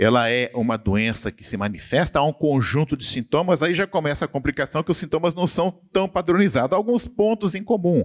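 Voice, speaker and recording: This man talks fairly quickly at a fairly high pitch, with very wide pitch swings and vocal fry. The sound is dry and close with no echo, over a quiet background. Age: 60s. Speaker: professor. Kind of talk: church study conversation. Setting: church.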